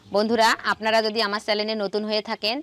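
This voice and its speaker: A woman's voice in a dry sound with no echo. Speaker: village cooking channel host. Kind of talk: cooking tutorial intro. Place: open country.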